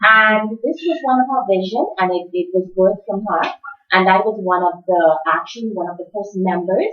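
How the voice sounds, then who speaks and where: Music plays in the background as the voice moves at a moderate pace with ordinary pitch variation. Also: woman, medium pitch for a woman. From Bahamas. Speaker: teacher. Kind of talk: testimony. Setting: conference workshop with audience.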